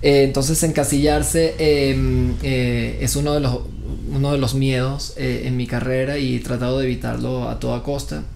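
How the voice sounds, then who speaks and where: The man talks at a moderate pace. Audible room echo and noticeable background noise fill the recording. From Venezuela. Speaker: actor. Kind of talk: interview. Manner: hesitant, many fillers.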